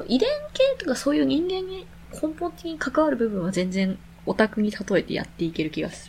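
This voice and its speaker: Noticeable background noise sits behind a woman talking at a fairly quick pace. Her fairly high voice moves through very wide pitch swings. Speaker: podcast co-host. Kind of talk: casual chat.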